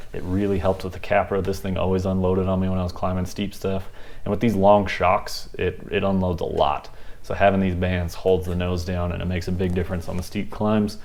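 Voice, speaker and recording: A man talks at a fairly quick pace with a very deep, low pitch and monotone, flat intonation. Audible room echo surrounds him. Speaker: RC crawler hobby youtuber. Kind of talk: casual vlog talk to camera. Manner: fast; casual with fillers.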